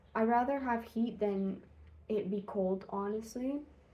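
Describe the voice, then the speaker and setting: A woman's somewhat breathy voice in a dark, mellow tone at a fairly slow pace. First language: Spanish. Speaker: vlogger. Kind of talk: casual vlog monologue. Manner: casual, hesitant with fillers.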